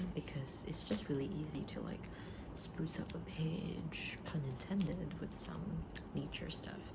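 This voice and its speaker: A soft-spoken woman at a fairly slow pace, with noticeable background noise. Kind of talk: ASMR shop role-play.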